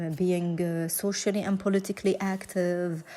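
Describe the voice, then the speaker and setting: Speaking with a non-native accent, a woman uses a medium-pitched voice with a dark, mellow tone, a fairly slow pace and monotone, flat intonation. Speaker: domestic violence survivor. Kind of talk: personal testimony interview answer.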